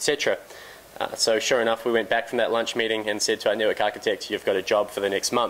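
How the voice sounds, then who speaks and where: A man at a very fast pace, medium in pitch. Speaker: company CEO, conference speaker. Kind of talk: conference presentation. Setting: conference stage with audience.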